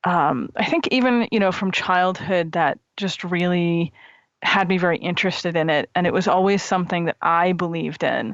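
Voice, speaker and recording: A woman with an American accent and an unremarkable speaking voice, fairly low in pitch with ordinary pitch variation, at a moderate pace and very even loudness. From United States. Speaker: author. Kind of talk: interview. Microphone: bad connection, voice distorts.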